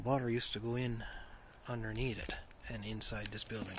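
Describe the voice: At a moderate pace, a man speaks at medium pitch with a fairly bright tone, and audible room echo surrounds him.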